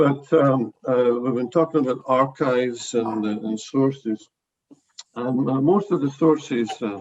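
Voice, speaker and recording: With a Glasgow accent, a man talks at a fairly slow pace in a medium pitch with ordinary pitch variation. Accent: Scottish (Glasgow). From Scotland, Glasgow. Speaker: professor. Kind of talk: academic book presentation. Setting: video call. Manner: halting, many fillers.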